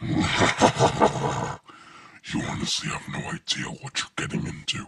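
Using a put-on character voice, a man speaks very slowly at a fairly high pitch. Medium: audio drama. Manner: menacing, threatening.

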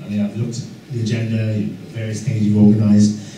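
A man talks at a very fast pace in a fairly low voice. Audible room echo and light background noise surround him. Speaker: guest. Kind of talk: lecture. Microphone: camera far.

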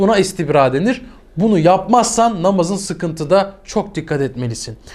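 Moving at a moderate pace, a man speaks with a high pitch. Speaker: religious teacher. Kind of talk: religious tutorial to camera. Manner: animated.

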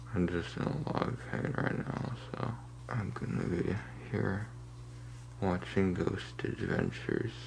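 Long, frequent pauses from a man at a fairly slow pace, with light background noise. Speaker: vlogger. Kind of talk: casual vlog chat. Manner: weak, pained, slurred through swollen jaw. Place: home room. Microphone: phone near.

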